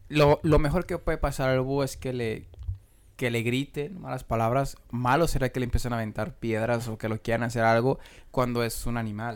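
At a moderate pace, a man with a Mexican accent speaks in a medium pitch with ordinary pitch variation. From Mexico, Michoacán. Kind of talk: casual chat.

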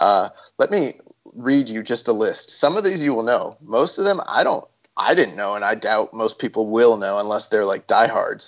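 An ordinary speaking voice from a man, medium in pitch, with lively intonation. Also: moderate pace. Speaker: podcast host. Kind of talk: casual chat.

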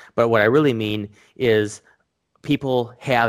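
Pitch variation is ordinary in a very clean recording with a silent background. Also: man. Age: 30s. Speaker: e-commerce entrepreneur. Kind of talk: casual interview. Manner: halting, many fillers.

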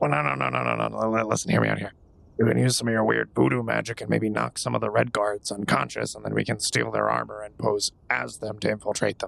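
A man puts on a raspy character voice, very deep and low in pitch. He moves at a fairly quick pace with very wide pitch swings. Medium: actual play. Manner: brash, fast-talking.

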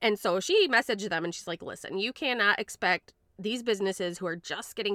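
With a western Michigan accent, a woman talks very fast in a bright, sharp tone with ordinary pitch variation, her dry, close sound free of echo on a very clean recording with a silent background. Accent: western Michigan, Midwestern. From Grand Rapids, Michigan. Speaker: podcast host. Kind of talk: casual chat.

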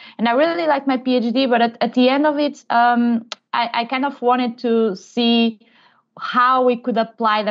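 This woman speaks with a Portuguese accent at a fairly high pitch. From Portugal. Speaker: innovation manager. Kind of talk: interview. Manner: halting.

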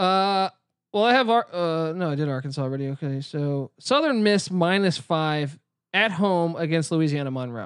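The speaker uses lively intonation at a moderate pace against a quiet background. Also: man, fairly high pitch for a man. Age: 30s. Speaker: sports betting podcast co-host. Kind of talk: casual chat. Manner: animated.

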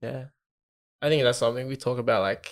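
In a very clean recording with a silent background, a man of medium pitch speaks in a monotone, flat intonation with an Australian accent. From Australia, Filipino background. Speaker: podcast co-host. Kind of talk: casual chat.

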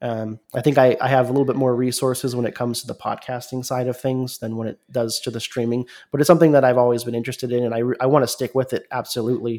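Talking very fast with an American accent, a man keeps a medium pitch and monotone, flat intonation. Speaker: podcaster and streamer. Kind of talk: interview conversation.

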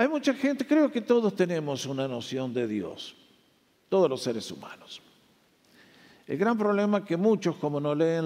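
With a dark, mellow tone, a man talks at a moderate pace through very wide pitch swings. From Argentina. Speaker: pastor. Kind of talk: sermon.

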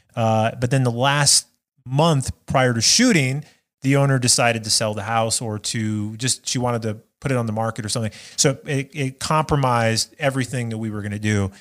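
With an American accent and an ordinary speaking voice, a man talks at a medium pitch and a fairly quick pace. His intonation is fairly even, and the recording is very clean with a silent background. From Nevada (Las Vegas). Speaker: filmmaker. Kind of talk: casual interview chat.

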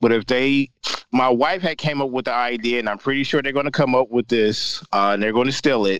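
A man speaks in a plain, everyday voice at a medium pitch and a fairly quick pace, with ordinary pitch variation and a dry, close sound with no echo. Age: 30s. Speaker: podcast co-host. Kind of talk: casual chat.

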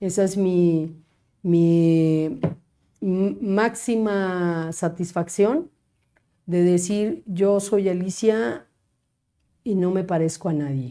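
In a very clean recording with a silent background, a woman of medium pitch speaks very slowly with a dark, mellow tone, ordinary pitch variation and long, frequent pauses. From Mexico, Cuernavaca. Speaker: lawyer and public official. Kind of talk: casual interview.

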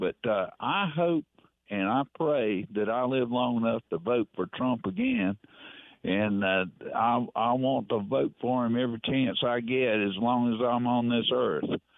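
With a Southern US accent, a man speaks fairly slowly at a medium pitch, keeping his loudness very even and his pitch variation ordinary. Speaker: caller. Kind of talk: casual chat. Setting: phone call. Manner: halting.

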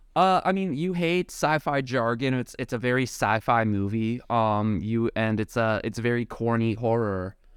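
An ordinary speaking voice from a man at medium pitch, moderate in pace, with lively intonation and hardly any pauses. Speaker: podcast host. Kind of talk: casual comedic chat. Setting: remote call between coasts.

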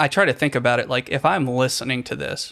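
At a fairly quick pace, a man with an ordinary speaking voice talks in a medium pitch with fairly even intonation. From Richmond, Virginia, US South. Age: 30s. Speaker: musician, composer. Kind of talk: interview conversation.

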